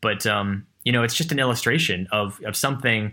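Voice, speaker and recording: At a moderate pace, a man talks in a bright, sharp tone with ordinary pitch variation, in a very clean recording with a silent background. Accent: American. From California. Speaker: marine biotech entrepreneur. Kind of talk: interview. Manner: halting.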